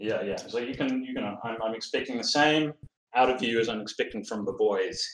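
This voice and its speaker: Speaking at a fairly quick pace, this man has a New Zealand accent. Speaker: philosophy graduate student. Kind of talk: casual chat.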